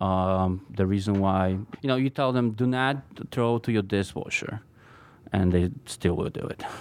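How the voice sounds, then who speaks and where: In a very clean recording with a silent background, a man with a Polish accent speaks at a fairly low pitch with ordinary pitch variation. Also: moderate pace. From Poland. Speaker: knife maker. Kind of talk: interview. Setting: studio. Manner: halting.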